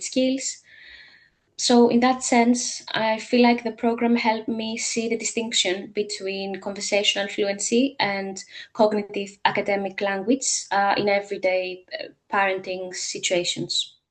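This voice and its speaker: A woman with a Greek accent speaks at a medium pitch. Her pace is moderate and her intonation fairly even. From Greece. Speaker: language teacher and parent coach. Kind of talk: testimony. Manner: hesitant, many filler sounds.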